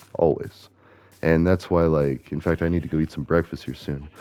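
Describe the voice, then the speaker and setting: Dark and mellow in tone, a man speaks in a very deep, low pitch. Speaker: gaming streamer. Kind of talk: gameplay commentary. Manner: casual, rambling with fillers.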